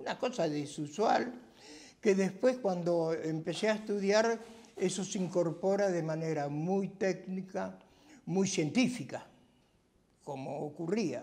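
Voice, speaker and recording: A very slow pace with long, frequent pauses. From Argentina, Buenos Aires area (Temperley). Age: 90s. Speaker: retired cartographer. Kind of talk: oral history interview. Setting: at home.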